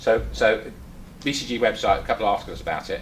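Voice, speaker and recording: With an English accent, a man talks at a very fast pace. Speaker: speaker at activist meeting, former policeman. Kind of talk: talk to a small audience. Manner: halting, many fillers and repeats.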